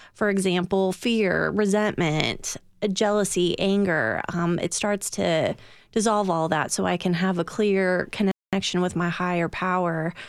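In a plain, everyday voice, a woman with an American accent speaks at a fairly slow pace, her medium pitch and fairly even intonation matched by very even loudness. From California. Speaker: recovering alcoholic, AA member. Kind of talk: radio interview, personal testimony.

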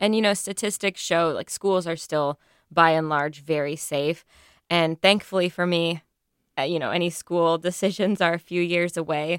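In a very clean recording with a silent background and a dry, close sound with no echo, a woman with an American accent speaks at a fairly low pitch and moderate pace. She uses a plain, everyday voice with fairly even intonation. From Texas. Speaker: investigative reporter. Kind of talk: radio news panel discussion.

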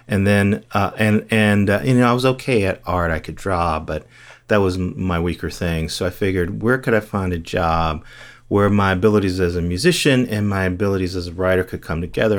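Talking at a fairly quick pace, a man speaks in a very deep, low voice with an American accent. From US Midwest (Gary, Indiana). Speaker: TV critic. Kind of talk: interview. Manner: hesitant fillers.

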